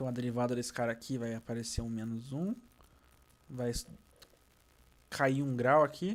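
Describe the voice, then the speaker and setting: This man's voice has a medium pitch. It shows ordinary pitch variation. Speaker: physics teacher. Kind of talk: lecture.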